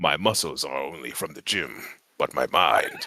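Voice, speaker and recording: Putting on a character voice, a man speaks at a moderate pace with a very deep, low pitch and big swings in loudness. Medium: actual play. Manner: formal, archaic phrasing.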